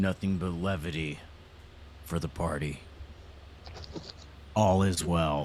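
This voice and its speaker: A raspy put-on character voice at a fairly slow pace, with fairly even intonation and long, frequent pauses. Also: man, very deep, low pitch for a man. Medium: actual play. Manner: glib.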